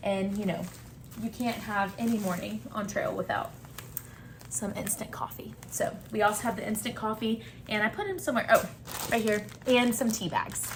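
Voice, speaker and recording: A woman with a Southern US accent speaks at a moderate pace amid noticeable background noise. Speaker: travel vlogger. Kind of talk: casual gear and food walkthrough.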